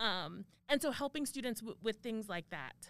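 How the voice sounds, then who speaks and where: A woman with a General American accent speaks at a moderate pace in an unremarkable speaking voice, her fairly high pitch carried by lively intonation. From Arizona. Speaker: university administrator and professor. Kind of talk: interview.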